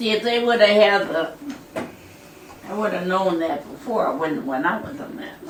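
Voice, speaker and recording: A woman at a medium pitch speaks at a moderate pace with long, frequent pauses, very wide pitch swings and big swings in loudness. Noticeable background noise is present. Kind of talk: interview answer. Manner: snarky.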